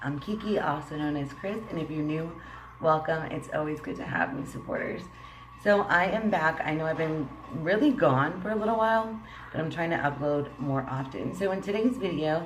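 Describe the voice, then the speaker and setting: With noticeable background noise and audible room echo, a woman talks at a moderate pace in a fairly low pitch, her intonation lively. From Puerto Rican heritage. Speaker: beauty vlogger. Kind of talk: makeup tutorial vlog. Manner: casual, laughing.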